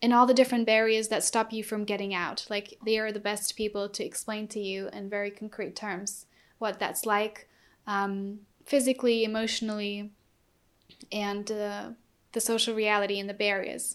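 A woman's fairly high voice with a German accent, monotone and flat at a moderate pace, on a very clean recording with a silent background. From Germany. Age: 20s. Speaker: activist. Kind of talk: interview.

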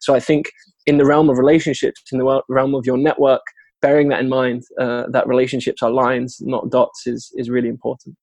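A man with a British accent speaks at a fairly quick pace in a medium pitch, his intonation monotone and flat, and the sound is dry and close with no echo. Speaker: software developer. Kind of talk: interview. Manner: articulate.

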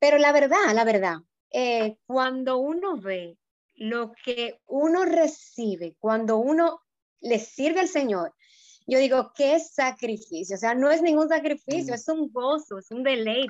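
Against a quiet background, a high-pitched woman speaks at a very slow pace with lively intonation. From Dominican Republic, Puerto Plata. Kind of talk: casual chat. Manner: hesitant, many fillers.

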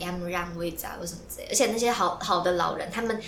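A woman talks very fast amid audible room echo and noticeable background noise. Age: 20s. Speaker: podcast co-host, student. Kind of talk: casual chat. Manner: animated.

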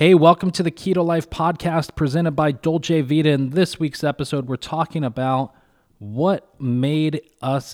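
A man with an ordinary speaking voice talks at a moderate pace with ordinary pitch variation, dry and close with no echo, in a very clean recording with a silent background. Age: 30s. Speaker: podcast host and restaurant owner. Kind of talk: show intro and outro; casual chat.

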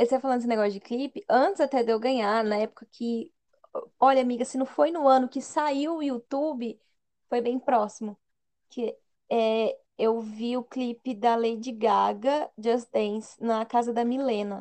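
This woman speaks at a high pitch with a dark, mellow tone. Her pace is fairly slow and her pitch varies in an ordinary way. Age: 20s. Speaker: podcast co-host. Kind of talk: casual chat.

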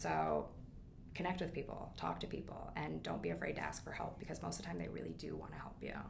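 Very fast delivery with a Midwestern American accent. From US Midwest, Quad Cities (Iowa/Illinois). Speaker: business founder and CEO. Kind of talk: interview. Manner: animated, frequent laughter.

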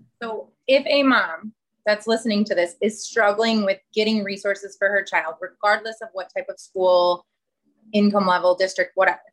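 A woman at a medium pitch uses a normal speaking voice, moderate pace and ordinary pitch variation. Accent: American. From Chicago. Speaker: podcast co-host, mother of three. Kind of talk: casual chat.

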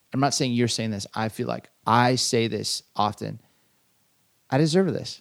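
Recorded very cleanly against a silent background, a man with an American accent has an unremarkable speaking voice, medium in pitch with ordinary variation, and talks at a fairly slow pace. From Southern California. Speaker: podcast co-host, pastor. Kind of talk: casual chat.

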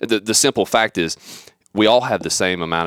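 A man with vocal fry and ordinary pitch variation is heard in a dry, close recording with no echo. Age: 30s. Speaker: leadership podcast host. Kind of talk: casual chat.

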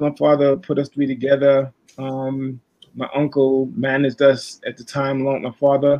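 In a Brooklyn accent, a man speaks at a moderate pace and fairly high pitch with monotone, flat intonation. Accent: New York (Brooklyn). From Brooklyn, New York. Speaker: songwriter and producer. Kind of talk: interview.

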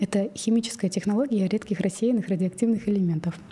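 Against noticeable background noise, a woman talks at a fairly quick pace in a medium pitch. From Kazakhstan, Ridder (small mining town). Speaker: coach. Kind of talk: casual interview.

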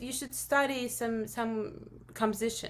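In a Russian accent, a woman speaks with ordinary pitch variation. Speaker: film composer. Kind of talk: interview. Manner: halting.

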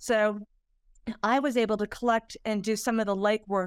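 A woman's medium-pitched voice with ordinary pitch variation, in a dry, close sound with no echo. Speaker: retired FBI agent and corruption investigator. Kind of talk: interview. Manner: halting with many fillers.

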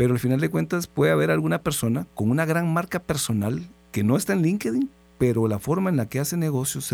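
A man with a dark, mellow tone speaks at a medium pitch and a fairly quick pace. The recording is very clean, with a silent background. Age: 40s. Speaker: radio host. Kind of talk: radio interview. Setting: radio studio.

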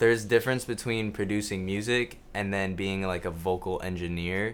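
Using a plain, everyday voice, a man with a fairly low pitch and an American accent speaks at a moderate pace with ordinary pitch variation. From grew up in Tokyo at an American school, family from the US. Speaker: music producer. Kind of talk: casual interview.

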